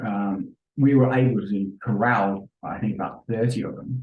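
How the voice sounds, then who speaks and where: Fairly even intonation runs through speech that sounds somewhat breathy. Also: man. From London, England. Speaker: event safety professional. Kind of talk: podcast interview.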